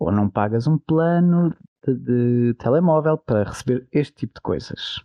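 At a fairly slow pace, a man with a medium pitch speaks in an unremarkable speaking voice, using lively intonation and very even loudness. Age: 30s. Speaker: podcast co-host, nurse. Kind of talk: casual chat.

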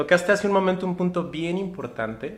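A man talks at a fairly quick pace. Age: 30s. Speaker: physician and sexologist. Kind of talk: interview. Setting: live stream from community centre.

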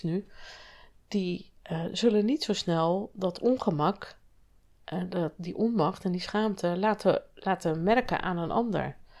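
The pitch of this woman's voice is medium. It rises and falls in an ordinary way. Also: very clean recording, silent background. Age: 50s. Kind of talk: solo podcast monologue.

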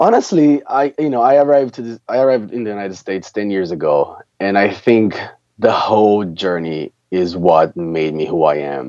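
Speaking with a Brazilian Portuguese accent, a man uses a fairly low pitch with very wide pitch swings. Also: moderate pace. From Brazil, countryside of São Paulo state. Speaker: premed student. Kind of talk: interview. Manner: halting, many fillers.

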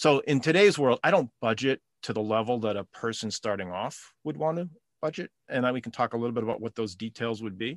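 Over a quiet background, a man talks in an ordinary speaking voice at a medium pitch. His pace is fairly quick, and the sound is dry and close with no echo. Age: 50s. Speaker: retired father sharing financial advice. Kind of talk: casual chat.

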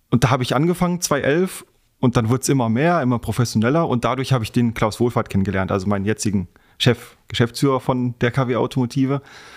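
In a very clean recording with a silent background and a dry, close sound free of echo, a man talks very fast at medium pitch with ordinary pitch variation. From western Germany, Heinsberg area (North Rhine-Westphalia). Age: 20s. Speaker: racing driver and motorsport sales employee. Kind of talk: podcast interview. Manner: hesitant with frequent fillers.

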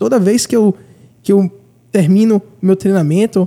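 A man's high-pitched voice with a dark, mellow tone at a moderate pace. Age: 30s. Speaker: podcast host. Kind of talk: casual interview.

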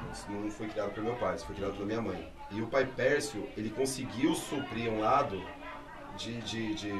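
Over crowd noise in the background and audible room echo, a man at medium pitch speaks at a moderate pace with fairly even intonation. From Brazil. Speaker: candomblé priest. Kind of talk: casual interview chat.

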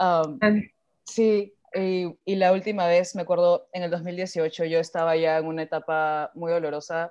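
Against a quiet background, a woman speaks at a fairly slow pace. Her tone is dark and mellow, her pitch fairly low, and her intonation fairly even. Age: 20s. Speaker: artist. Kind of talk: casual chat.

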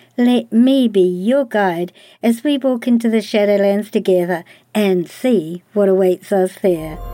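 A woman with a New Zealand accent talks at a fairly slow pace, her pitch medium with ordinary variation. Her loudness stays very even, and music plays in the background. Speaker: podcast host. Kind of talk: podcast intro narration.

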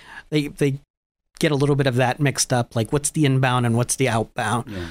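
A man with an ordinary speaking voice, an American accent, a fairly high pitch and ordinary pitch variation, in a very clean recording with a silent background and a dry, close sound with no echo. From Erie, Pennsylvania. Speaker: transit operations manager. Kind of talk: radio interview.

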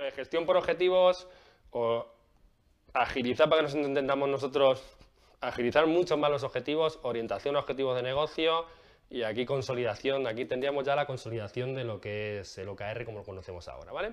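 Against a quiet background, a man with a fairly high pitch and ordinary pitch variation talks at a fairly quick pace, his loudness swinging widely. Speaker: agile coach / video creator. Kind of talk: explanatory video talk. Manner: casual, with frequent fillers and repetitions; fast.

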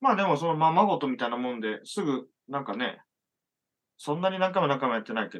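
Speaking very fast, a man uses a fairly high pitch. His intonation is lively. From Japan, rural Hyogo near Okayama. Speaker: musician and illustrator. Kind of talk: casual chat.

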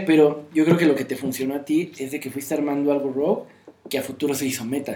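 A man whose pitch is fairly high rattles along very fast, with noticeable noise behind him. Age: 30s. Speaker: card game player, co-host. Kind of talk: casual chat.

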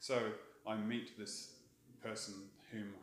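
A man speaks with an Australian accent. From Australia (Brisbane), born in England. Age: 50s. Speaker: tattoo artist. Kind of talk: casual chat.

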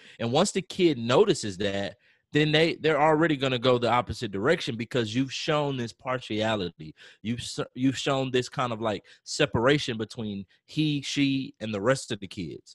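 A man with an American accent at a medium pitch and moderate pace, lively in intonation, with a dry, close sound with no echo on a very clean recording with a silent background. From Texas, Rosenberg near Houston. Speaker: band director and music teacher. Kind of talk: casual interview conversation.

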